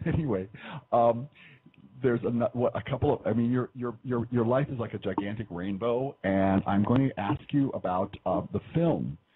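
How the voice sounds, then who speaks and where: This man has an unremarkable speaking voice at medium pitch. He keeps a moderate pace with ordinary pitch variation. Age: 60s. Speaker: radio host. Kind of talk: radio interview. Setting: radio broadcast.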